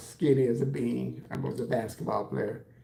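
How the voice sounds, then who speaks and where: With audible room echo, a man with an American accent talks at a moderate pace. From Texas, San Antonio. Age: 60s. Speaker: hairstylist and livestreamer. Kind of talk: casual livestream chat answering comments. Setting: live stream at home while doing his hair.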